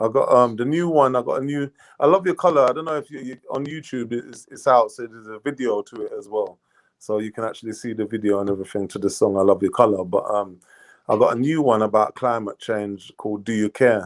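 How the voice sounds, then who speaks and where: A man speaks at a very fast pace in a slight Jamaican accent, at medium pitch with ordinary pitch variation. His loudness swings widely, and the recording is very clean with a silent background. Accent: slight Jamaican twang. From England, Jamaican parents. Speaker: singer-songwriter. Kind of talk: interview. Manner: casual, halting with fillers.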